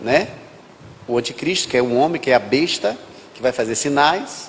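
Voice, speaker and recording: Noticeable background noise surrounds a man talking in a medium pitch. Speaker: pastor. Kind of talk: sermon.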